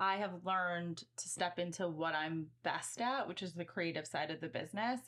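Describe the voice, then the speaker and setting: This woman has an ordinary speaking voice, fairly low in pitch, with ordinary pitch variation, a moderate pace and hardly any pauses. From US Midwest, Chicago suburbs. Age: 30s. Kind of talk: interview.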